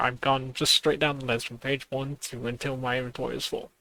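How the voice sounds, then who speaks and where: A man talks quietly. His pace is moderate. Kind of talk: gameplay commentary.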